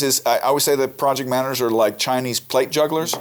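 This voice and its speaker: Through noticeable background noise, a man with a fairly high pitch speaks at a very fast pace with fairly even intonation. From Europe. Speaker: podcast host. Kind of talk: casual interview discussion. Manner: halting, many repetitions.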